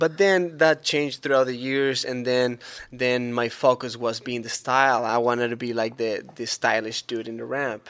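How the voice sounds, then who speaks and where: At a moderate pace, a man with a Spanish accent speaks in a medium pitch with fairly even intonation. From Chile. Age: 30s. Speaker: BMX vert rider. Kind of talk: casual interview.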